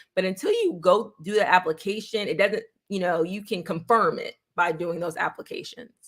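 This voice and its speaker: A woman with a New York accent and lively intonation. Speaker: real estate agent. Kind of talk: livestream Q&A. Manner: fast.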